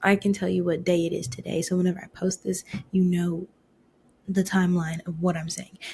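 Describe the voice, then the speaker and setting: A woman's fairly low, somewhat breathy voice. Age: 20s. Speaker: podcast host. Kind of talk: casual monologue. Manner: fast; animated.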